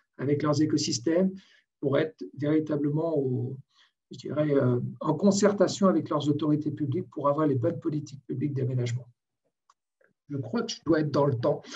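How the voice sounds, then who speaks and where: A man's fairly high, somewhat breathy voice with a dark, mellow tone, ordinary pitch variation, a moderate pace and long, frequent pauses. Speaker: port and logistics expert, webinar panelist. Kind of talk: webinar panel presentation. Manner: halting, many hesitations.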